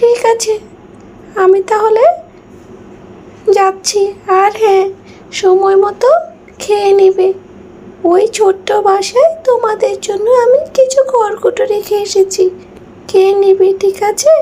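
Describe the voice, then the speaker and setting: A cartoonish character voice, female-sounding and extremely high, at a fairly slow pace. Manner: gentle, repetitive reassurance.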